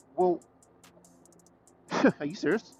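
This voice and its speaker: Music plays behind a man speaking at a high pitch. His intonation is lively. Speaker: motorcycle vlogger. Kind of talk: casual vlog monologue. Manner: stuttering.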